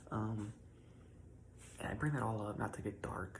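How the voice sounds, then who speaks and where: A man whispers in a soft-spoken way, with audible room echo around him. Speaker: content creator. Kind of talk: personal reflection monologue. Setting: at home in his room, early morning. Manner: whispering.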